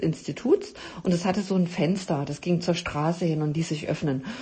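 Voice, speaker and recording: A woman speaks at a moderate pace in a fairly low, somewhat breathy voice with ordinary pitch variation. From East Germany. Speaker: podcast host, health coach. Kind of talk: solo podcast talk. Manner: many filler sounds.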